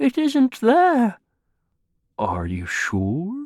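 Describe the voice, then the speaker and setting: A put-on character voice unfolds at a very slow pace. The recording is very clean, with a silent background. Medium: read story. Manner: kindly, simple.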